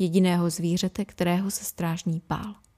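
A woman's somewhat breathy, dark, mellow voice at a moderate pace, flat and monotone, on a very clean recording with a silent background and a dry, close sound with no echo. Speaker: podcast host. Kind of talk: horror audiobook reading.

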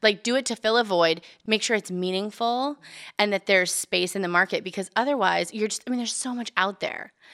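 Bright and sharp in tone, a woman with an American accent speaks at medium pitch and a fairly quick pace with ordinary pitch variation, recorded dry and close with no echo. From California, Bakersfield. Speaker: hairstylist. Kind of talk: interview conversation. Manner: casual, uses filler words.

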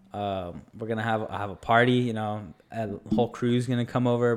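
A man talks in a plain, everyday voice at a medium pitch. His pace is fairly quick and his intonation fairly even. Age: 20s. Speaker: podcast co-host. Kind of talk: casual chat.

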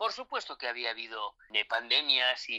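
A moderate pace in a dry, close recording with no echo. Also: man. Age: 50s. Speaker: war correspondent. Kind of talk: interview. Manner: halting, many repetitions.

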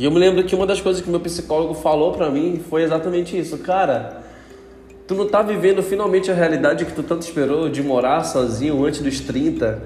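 A man with a high voice speaks in a relaxed tone at a fairly quick pace, with ordinary pitch variation, audible room echo and noticeable background noise. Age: 20s. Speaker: podcast host. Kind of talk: casual solo monologue. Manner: relaxed, informal.

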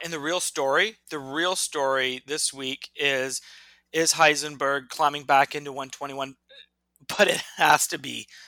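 A man puts on a raspy character voice, pitched fairly high, speaking very slowly with fairly even intonation. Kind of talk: sports talk. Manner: mock emotional, exaggerated.

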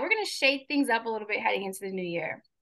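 The voice is raised and projected. Its tone comes across bright and sharp. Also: woman. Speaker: podcast host. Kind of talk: casual interview chat. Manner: warm, upbeat, affirming.

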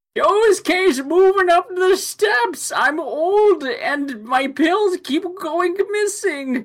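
In a put-on character voice, someone speaks at an extremely high pitch and a very slow pace. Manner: whining, stereotypical.

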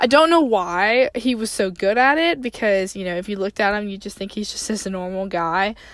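Lively intonation at a fairly quick pace, in a Southern US accent, with hardly any pauses and big swings in loudness. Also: woman, medium pitch for a woman. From Tennessee, US South. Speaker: podcast host. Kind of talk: casual monologue. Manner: frequent fillers.

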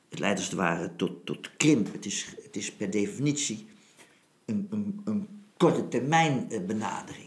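A man with a medium-pitched voice speaks at a fairly slow pace, his pitch swinging very widely. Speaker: retired army general and philosopher. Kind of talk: philosophical conversation.

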